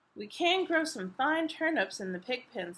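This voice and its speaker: Delivered at a moderate pace, this put-on character voice swings very widely in pitch. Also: woman, high pitch for a woman. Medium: read story.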